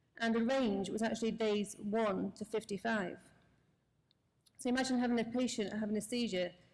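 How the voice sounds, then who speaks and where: A woman speaks with a British accent at a fairly quick pace. Her voice is fairly high, and her intonation is fairly even. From UK. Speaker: anesthesiologist. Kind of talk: conference lecture.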